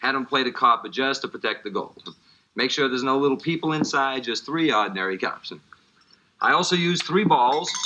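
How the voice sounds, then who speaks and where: A man in a New Orleans accent talks at a fairly quick pace and a fairly high pitch. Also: lively intonation. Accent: New Orleans American English. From US, New Orleans. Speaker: magician. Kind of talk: magic performance patter. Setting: TV studio. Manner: fast; animated, joking.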